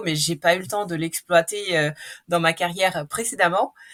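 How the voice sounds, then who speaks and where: This woman's pitch varies in an ordinary way as she talks at a moderate pace. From Russia. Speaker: marketing executive. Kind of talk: podcast interview. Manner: hesitant with fillers.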